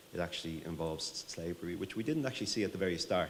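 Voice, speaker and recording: In a room with audible echo, a man with an Irish accent speaks in a very deep, low voice with ordinary pitch variation. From Ireland. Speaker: tech company CEO. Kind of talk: conference presentation. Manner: fast.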